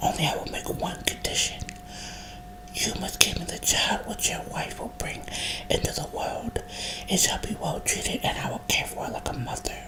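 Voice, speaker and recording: A woman is whispering. Background noise is noticeable. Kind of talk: storybook reading, ASMR-style whisper. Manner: whispered.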